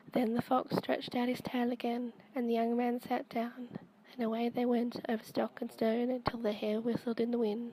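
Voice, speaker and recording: A soft-spoken woman with a high voice talks at a moderate pace in a flat, monotone delivery. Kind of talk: softly spoken storytime reading. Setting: home recording, amateur microphone.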